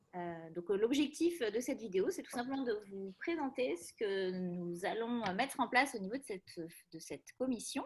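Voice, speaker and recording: A woman with a fairly high, somewhat breathy voice talks at a moderate pace, her loudness swinging widely and her pitch moving through very wide swings. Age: 40s. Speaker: psychologist. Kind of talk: casual presentation. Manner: hesitant, many fillers.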